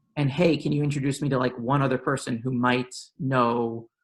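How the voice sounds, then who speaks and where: In a New York accent, a man speaks at a moderate pace with a medium pitch and fairly even intonation. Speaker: policy professional. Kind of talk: panel discussion.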